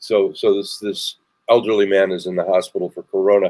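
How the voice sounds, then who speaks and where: At a moderate pace, a man talks with an American accent. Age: 60s. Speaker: talk show host and comedian. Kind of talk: casual chat.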